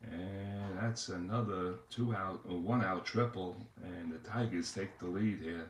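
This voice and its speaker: Audible room echo surrounds a man with a New York accent, whose fairly low, somewhat breathy voice keeps a fairly even intonation. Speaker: tabletop baseball game streamer. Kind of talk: play-by-play commentary of a tabletop game. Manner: hesitant, many fillers.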